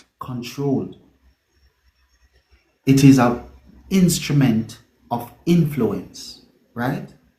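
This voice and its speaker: Somewhat breathy, a man speaks with a Jamaican accent, a fairly high pitch and a dark, mellow tone. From Mandeville, Jamaica. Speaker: reggae singer. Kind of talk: interview answer.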